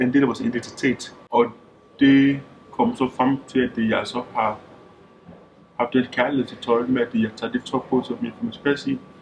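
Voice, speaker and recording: At a fairly slow pace with long, frequent pauses, a man speaks in a monotone, flat way at a medium pitch. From Denmark, Skanderborg and central Jutland. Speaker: interviewee, football referee. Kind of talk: documentary interview. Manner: halting, many fillers and repetitions.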